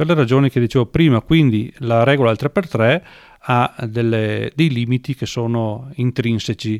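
In a plain, everyday voice, the speaker goes at a fairly slow pace with ordinary pitch variation, in a very clean recording with a silent background and a dry, close sound with no echo. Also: man, medium pitch for a man. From Veneto, northern Italy. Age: 60s. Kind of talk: interview.

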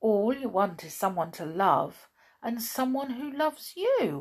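In a put-on character voice, a woman speaks slowly at a fairly high pitch, with big pitch swings and a slightly husky edge.

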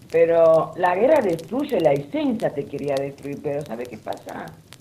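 A woman's fairly low-pitched voice amid noticeable background noise. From Lebanon. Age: 50s. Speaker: guest sharing life story. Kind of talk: casual chat.

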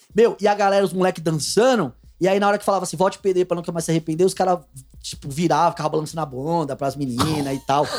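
Over music in the background, a man with a high pitch talks at a very fast pace. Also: ordinary pitch variation. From Pernambuco, Brazil (Abreu e Lima). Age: 30s. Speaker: data analyst. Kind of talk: casual chat. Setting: studio.

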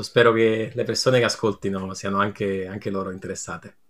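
A plain, everyday voice at a fairly quick pace with fairly even intonation. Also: man. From Italy, Naples. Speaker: game designer. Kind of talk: podcast interview. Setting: remote call.

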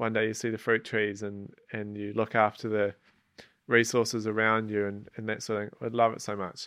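A man with a New Zealand accent, a fairly low pitch, monotone, flat intonation, big swings in loudness and a moderate pace. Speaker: outdoor guide and adventurer. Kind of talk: casual interview. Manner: hesitant, many fillers.

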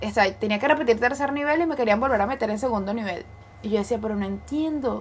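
A woman's fairly high, somewhat breathy voice in an animated tone, very fast, with ordinary pitch variation. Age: 20s. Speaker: podcast co-host. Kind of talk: casual chat.

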